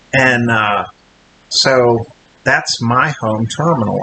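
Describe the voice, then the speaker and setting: A man speaks against noticeable background noise. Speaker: trucker vlogger. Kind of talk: casual vlog. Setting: hotel room. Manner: halting.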